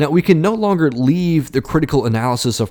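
The recording is very clean and the background silent. A man talks with lively intonation. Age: 20s. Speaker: religion podcaster. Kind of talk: lecture. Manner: formal.

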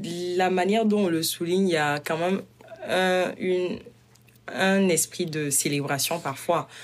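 Her medium-pitched voice keeps a very even loudness as this woman talks at a fairly slow pace with long, frequent pauses. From Burkina Faso. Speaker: university student. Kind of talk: interview.

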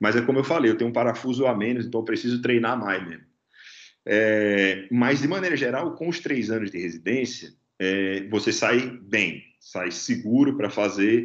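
The pace here is moderate. Pitch variation is ordinary. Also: man, medium pitch for a man. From Natal, Brazil (Northeast). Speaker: anesthesiologist. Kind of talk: interview. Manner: halting, with frequent repetitions.

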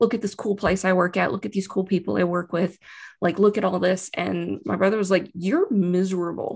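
A woman's fairly quick, fairly even-toned delivery with vocal fry and a Texan accent. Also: medium pitch for a woman, very clean recording, silent background. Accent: Texan American. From Texas, Austin. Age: 30s. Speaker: business analyst. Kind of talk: casual interview.

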